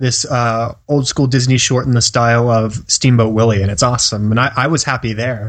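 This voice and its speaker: A man with a plain, everyday voice speaks at a fairly quick pace, keeping a medium pitch and fairly even intonation. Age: 20s. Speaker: film podcast co-host. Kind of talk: casual chat.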